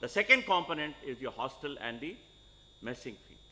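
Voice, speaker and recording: A man's bright, sharp voice, fairly high in pitch, with very wide pitch swings. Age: 60s. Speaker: medical college administrator. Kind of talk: welcome address to new students. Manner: firm, emphatic.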